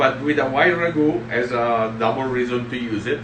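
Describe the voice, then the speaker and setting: With an Italian accent, a man speaks at a fairly slow pace in a medium pitch with ordinary pitch variation, amid audible room echo and noticeable background noise. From Italy, southern Tuscany. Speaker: executive chef. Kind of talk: cooking tutorial. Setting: restaurant kitchen livestream. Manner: halting.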